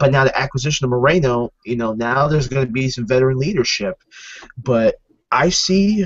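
Talking at a fairly quick pace, a man sounds somewhat breathy. The sound is dry with no echo, and the background is quiet. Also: ordinary pitch variation. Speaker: football fan. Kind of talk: casual chat. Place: home room. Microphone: webcam.

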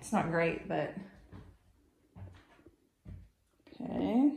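A woman with a somewhat breathy voice is heard with audible room echo and light background noise. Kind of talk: casual walkthrough commentary. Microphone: phone near.

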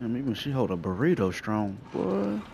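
A man speaks with vocal fry and a slightly mellow tone. His pitch swings big. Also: medium pitch for a man, moderate pace.

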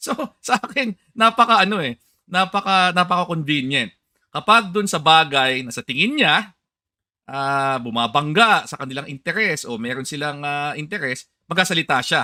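On a very clean recording with a silent background, a man talks at a moderate pace in a fairly high, bright, sharp voice, with lively intonation and big swings in loudness. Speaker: political commentator. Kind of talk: political interview.

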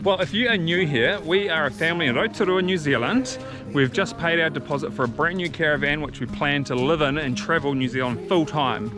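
A man talks at a fairly quick pace. The sound is dry with no echo, with noticeable background noise. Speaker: family vlogger. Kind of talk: casual vlog chat. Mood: cheerful, upbeat. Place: forest. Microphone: phone near.

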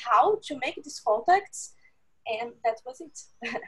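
A woman with a Portuguese accent, high in pitch, against a quiet background. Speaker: food security specialist. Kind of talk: interview. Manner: halting. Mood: warm, enthusiastic. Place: home room. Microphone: earbuds.

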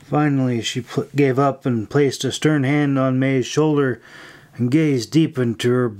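An unforced reading voice, intonation held fairly even

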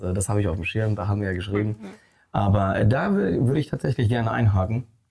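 A man with a fairly low pitch talks at a fairly quick pace and with fairly even intonation against noticeable background noise. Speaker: channel host. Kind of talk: interview host chat. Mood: friendly, laughing. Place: studio.

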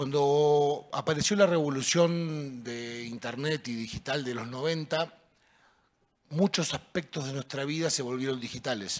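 A man's fairly high voice in a Rioplatense accent, at a fairly slow pace, with ordinary pitch variation. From Argentina, Buenos Aires. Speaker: city innovation director; panelist. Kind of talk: panel discussion. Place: stage. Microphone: handheld.

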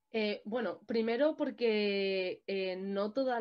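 Speech comes at a very slow pace with ordinary pitch variation over a quiet background. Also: woman. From Madrid, Spain; Spain. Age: 20s. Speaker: martial arts champion and anti-racism activist. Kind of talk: panel discussion. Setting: online video event. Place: home room. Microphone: webcam.

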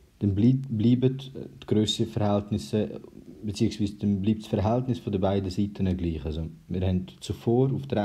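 A man's dark, mellow, somewhat breathy voice with a Swiss accent, fairly low in pitch, with ordinary pitch variation and a moderate pace. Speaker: math tutor. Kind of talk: math tutorial explanation.

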